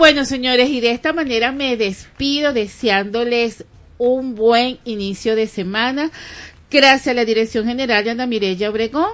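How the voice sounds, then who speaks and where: With a Venezuelan accent, a woman speaks in a high pitch at a moderate pace, her tone animated and her pitch variation ordinary. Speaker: radio host. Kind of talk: radio talk show. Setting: radio studio.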